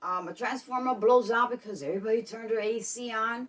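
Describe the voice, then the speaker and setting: A woman's fairly high voice, animated in tone, at a fairly quick pace. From Brooklyn, New York. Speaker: vlogger. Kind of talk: casual vlog talk. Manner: animated, repetitive.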